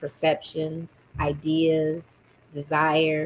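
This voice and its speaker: A woman's voice, fairly low in pitch. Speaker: teacher and podcast host. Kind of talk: casual monologue. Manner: direct and strong.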